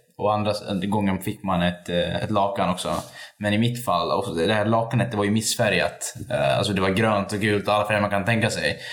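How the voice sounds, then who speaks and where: Noticeable background noise runs under a man's voice. He speaks at a moderate pace with monotone, flat intonation and very even loudness. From Sweden, Borlänge (Dalarna). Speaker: activist. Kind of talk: casual interview. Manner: halting.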